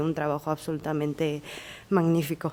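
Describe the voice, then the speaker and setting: This is a woman speaking. She has a Chinese accent. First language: Chinese (speaking Spanish). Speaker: audience member. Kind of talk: audience question. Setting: library event with audience. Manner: halting, many fillers.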